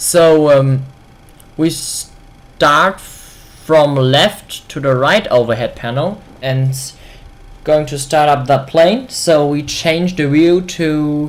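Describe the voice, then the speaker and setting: The speech comes at a very slow pace. It carries a German accent. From Germany. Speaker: flight simulator video creator. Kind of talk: tutorial. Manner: halting.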